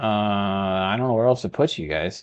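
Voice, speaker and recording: A man speaks with a slight Texan accent and a fairly low pitch. His pitch variation is ordinary, and the background is quiet. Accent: Texas accent, slight. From Texas. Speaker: video game streamer. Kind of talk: gameplay commentary; casual chat. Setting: live stream. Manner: casual, chatty.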